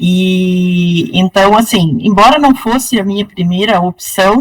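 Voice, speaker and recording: A woman speaks very slowly at medium pitch with ordinary pitch variation. Her voice is somewhat breathy. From northern Paraná, Brazil. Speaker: law professor. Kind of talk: interview.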